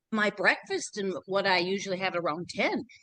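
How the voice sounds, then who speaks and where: A woman's bright, sharp, animated tone at a moderate pace. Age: 60s. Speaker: fitness program client. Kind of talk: testimony.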